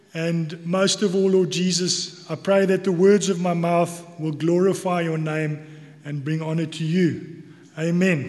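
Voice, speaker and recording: Speaking with a South African accent, a high-pitched man talks fairly slowly in a monotone, flat intonation. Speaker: church elder giving sermon. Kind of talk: sermon. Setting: church.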